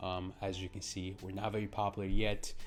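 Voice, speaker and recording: A man with a non-native accent speaks at a moderate pace. Music plays in the background. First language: not English. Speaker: digital marketing coach, channel owner. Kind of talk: tutorial. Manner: casual, filler-heavy with frequent ums.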